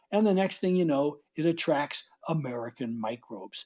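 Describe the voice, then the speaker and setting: Against a quiet background, a man with a New York accent speaks at a moderate pace in a dark, mellow tone, his pitch swinging very widely. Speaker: author and soil biology speaker. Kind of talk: conference talk.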